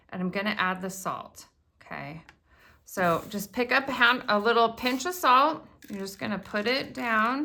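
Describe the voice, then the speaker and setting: Loud and animated, a woman speaks at a moderate pace with a bright, sharp tone, a fairly high pitch and lively intonation, in a very clean recording with a silent background. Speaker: crafting video host. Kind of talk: tutorial.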